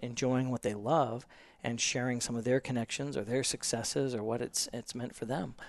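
Here a man with an American accent talks in an ordinary speaking voice at a moderate pace. His medium pitch shows ordinary variation, the sound dry and close with no echo over a quiet background. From US Pacific Northwest, small-town Washington State. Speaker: explorer and entrepreneur. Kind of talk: interview conversation. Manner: frequent fillers (um, uh).

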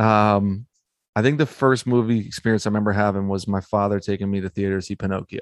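A man with an ordinary speaking voice and an American accent talks at a fairly quick pace in a fairly low pitch with fairly even intonation. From Philadelphia. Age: 30s. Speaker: rapper and podcaster. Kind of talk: casual chat.

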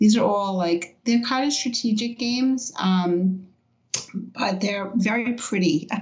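A woman talks at a fairly slow pace in a somewhat breathy voice, her pitch varying in an ordinary way. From New York City, Brooklyn. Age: 50s. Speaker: event organizer. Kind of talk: interview.

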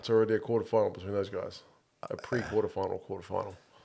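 A man is speaking. He has a New Zealand accent. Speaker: podcast co-host. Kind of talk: casual banter about rugby.

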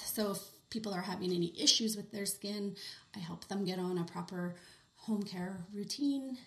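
A woman with a Canadian accent speaks at a medium pitch. Her voice is somewhat breathy. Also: ordinary pitch variation, moderate pace. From Western Canada (Kelowna, British Columbia). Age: 30s. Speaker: skincare specialist. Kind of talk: casual interview.

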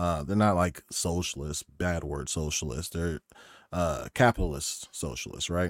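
This man has a very deep, low pitch with vocal fry and an American accent, and his pitch varies in an ordinary way at a fairly slow pace. The recording is very clean with a silent background and a dry, close sound with no echo. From Oklahoma. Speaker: military veteran and gaming content creator. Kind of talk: casual chat.

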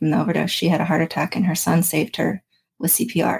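Vocal fry runs through very fast speech with an American accent, in a dry, close sound with no echo. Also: woman. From Florida, Daytona Beach. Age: 30s. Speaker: mental health advocate, person in recovery. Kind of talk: casual interview chat. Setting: studio.

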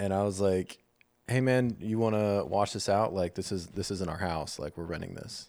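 A man with a normal speaking voice, fairly low pitch, ordinary pitch variation and a moderate pace. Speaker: podcast co-host. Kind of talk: casual banter and candid conversation.

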